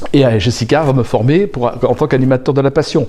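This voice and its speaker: Moving at a fairly quick pace, a man speaks with a medium pitch, a dark, mellow tone and ordinary pitch variation. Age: 60s. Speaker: aspiring coach and infopreneur. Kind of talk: interview. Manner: hesitant.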